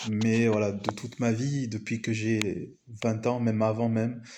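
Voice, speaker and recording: A man's dark, mellow voice comes at medium pitch with monotone, flat intonation and audible room echo. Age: 40s. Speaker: business coach. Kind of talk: video presentation monologue. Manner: hesitant with many fillers.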